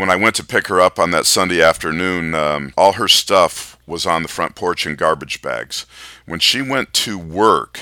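In an American accent, a man with a very deep, low pitch, vocal fry and a bright, sharp tone speaks at a moderate pace with ordinary pitch variation, on a very clean recording with a silent background and a dry, close sound with no echo. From Michigan. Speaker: podcast host, business interviewer. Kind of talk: personal storytelling monologue. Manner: casual with frequent fillers.

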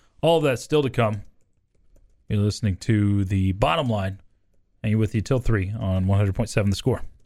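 On a very clean recording with a silent background, a man with a fairly low pitch and a dark, mellow tone speaks at a moderate pace with very even loudness, ordinary pitch variation and long, frequent pauses. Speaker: radio sports talk host. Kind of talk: casual sports talk chat. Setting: radio studio.

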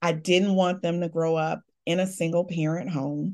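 Against a quiet background, a woman with an American accent and an ordinary speaking voice talks at a fairly slow pace with fairly even intonation. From Chicago. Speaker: divorced mother and higher education administrator. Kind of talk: interview testimony.

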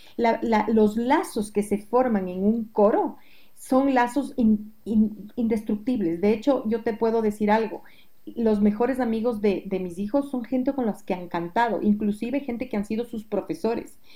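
Dark and mellow in tone, the voice is somewhat breathy. Its pace is fairly slow, and the pitch varies in an ordinary way. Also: woman, fairly high pitch for a woman. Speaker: music educator and singing teacher. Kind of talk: interview.

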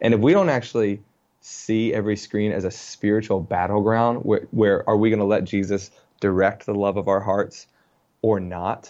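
An American accent marks a man at fairly low pitch with an ordinary speaking voice, moderate pace and fairly even intonation, over a quiet background. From Richmond, Virginia. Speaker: author. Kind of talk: casual interview.

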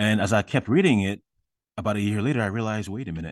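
Over a quiet background, a man with a fairly low pitch talks at a very fast pace, the sound dry and close with no echo. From Ghana. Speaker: writer and blogger. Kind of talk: interview.

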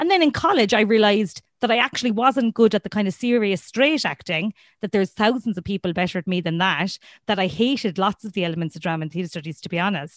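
Dry and close with no echo, this recording has a woman speaking at a very fast pace. Her pitch is medium and her intonation lively. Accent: Irish. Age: 30s. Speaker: comedian. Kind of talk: casual chat.

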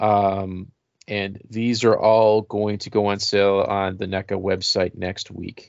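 Speaking in an American accent, a man has a fairly low pitch. His delivery is very slow, with monotone, flat intonation. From Rochester, New York. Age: 40s. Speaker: podcast host. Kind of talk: casual chat.

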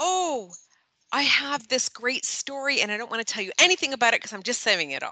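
A woman's high voice with a bright, sharp tone, very wide pitch swings and a fairly quick pace. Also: big swings in loudness. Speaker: podcast co-host. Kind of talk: casual chat. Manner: voice rises at end of sentences.

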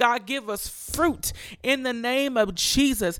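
The speaker goes at a very slow pace in a very clean recording with a silent background. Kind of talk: fervent prayer led aloud, addressing God directly with intercessory petitions. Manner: fervent, earnest, impassioned; rhythmic, repetitive cadence, each line opening 'God, I pray'.

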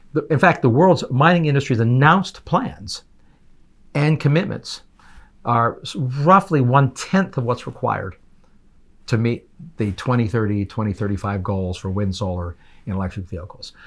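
Somewhat breathy, a man at a medium pitch and moderate pace makes very wide pitch swings and takes long, frequent pauses. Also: very clean recording, silent background. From Canada. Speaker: energy policy expert. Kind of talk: interview. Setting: in-person studio.

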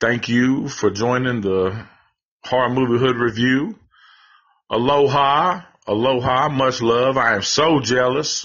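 A man with a Southern US accent speaks at a fairly slow pace. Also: medium pitch for a man, ordinary pitch variation. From Tennessee. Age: 40s. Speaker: horror movie podcaster. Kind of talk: casual chat.

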